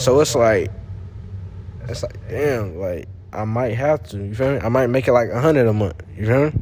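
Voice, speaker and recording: The speaker has an American accent and talks at a moderate pace with ordinary pitch variation. Noticeable background noise and audible room echo are present. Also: man, medium pitch for a man. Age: 20s. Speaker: day trader. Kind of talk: casual chat. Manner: stuttering at times.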